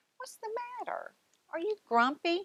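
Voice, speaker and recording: A woman's put-on character voice, squeaky and at an extremely high pitch, at a moderate pace. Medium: read story.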